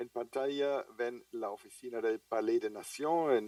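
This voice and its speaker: The speaker has a German accent. He is a man who talks at a fairly slow pace. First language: German (speaking Spanish). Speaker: international trade logistics official. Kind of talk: conference lecture. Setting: video call from home office. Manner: hesitant with fillers.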